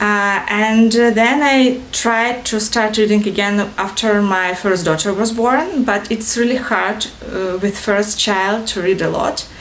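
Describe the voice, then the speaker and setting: Through audible room echo and noticeable background noise, a woman speaks with a fairly high pitch, fairly even intonation and a fairly slow pace. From Ukraine, Odessa (Russian-speaking south). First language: Russian. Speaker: book vlogger. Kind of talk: casual vlog introduction. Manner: halting, many fillers.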